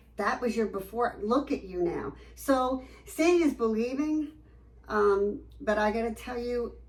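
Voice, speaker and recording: Over noticeable background noise, a woman with a fairly high pitch talks at a fairly slow pace with lively intonation. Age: 60s. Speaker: med spa patient giving testimonial. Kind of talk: testimony interview. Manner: animated, enthusiastic.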